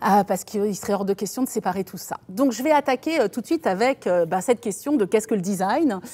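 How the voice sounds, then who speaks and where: A woman talks very fast at a fairly high pitch, her intonation lively and her speech with hardly any pauses. The recording is very clean, with a silent background. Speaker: design professor and lecturer. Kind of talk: lecture.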